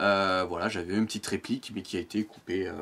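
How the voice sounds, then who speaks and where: The speech comes at a very fast pace with monotone, flat intonation. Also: man. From Provence, southern France. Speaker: amateur voice actor and YouTuber. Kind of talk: interview. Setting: outdoors with cicadas. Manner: hesitant, many fillers.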